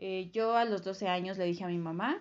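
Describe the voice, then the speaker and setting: A woman speaks at a medium pitch. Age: 20s. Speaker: guest sharing personal story. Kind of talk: testimony. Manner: halting, with fillers.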